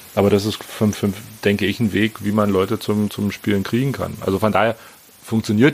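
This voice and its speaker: Speech at a fairly quick pace with fairly even intonation comes through noticeable background noise. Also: man. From Berlin, Germany. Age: 40s. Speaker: amateur golfer. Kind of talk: casual chat.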